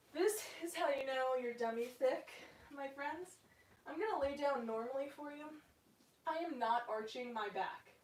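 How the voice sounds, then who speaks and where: A high-pitched woman at a moderate pace, with long, frequent pauses and audible room echo. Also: ordinary pitch variation. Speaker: stretching instructor streaming a workout. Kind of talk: guided workout instruction. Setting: live stream with chat. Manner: casual and chatty.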